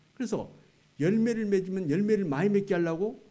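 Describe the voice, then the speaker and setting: Audible room echo surrounds a man speaking at a fairly quick pace with a dark, mellow tone and ordinary pitch variation. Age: 70s. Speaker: retired pastor, guest preacher. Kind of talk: sermon. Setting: church. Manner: conversational, colloquial.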